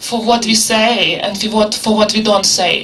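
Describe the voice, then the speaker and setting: Someone with a Ukrainian accent speaks at a moderate pace. Background noise is noticeable. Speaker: academic panelist. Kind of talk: round-table talk. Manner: halting.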